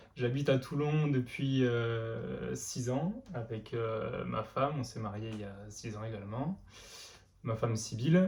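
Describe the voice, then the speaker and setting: This somewhat breathy voice moves at a very slow pace with ordinary pitch variation. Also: man, medium pitch for a man. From France, Lozère (Mende). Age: 20s. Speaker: amateur runner and notary. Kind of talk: interview. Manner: many hesitations (euh).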